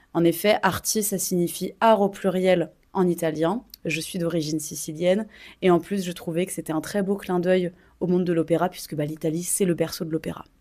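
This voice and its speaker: A woman with a dark, mellow tone speaks at a fairly low pitch and a moderate pace. Her intonation stays fairly even in a very clean recording with a silent background. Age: 20s. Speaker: opera singer. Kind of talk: casual vlog.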